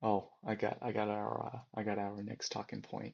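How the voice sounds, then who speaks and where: Here a man speaks in an American accent. His pace is moderate. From China, then US. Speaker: podcast co-host. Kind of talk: casual chat.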